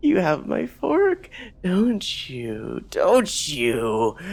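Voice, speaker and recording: A man cackles in a put-on character voice at a very slow pace. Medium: actual play. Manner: manic, repetitive, cackling.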